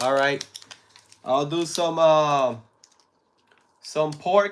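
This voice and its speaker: With long, frequent pauses, a man speaks at a very slow pace in a fairly high pitch with ordinary pitch variation. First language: Spanish. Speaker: live streamer. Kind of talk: casual chat. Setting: live stream.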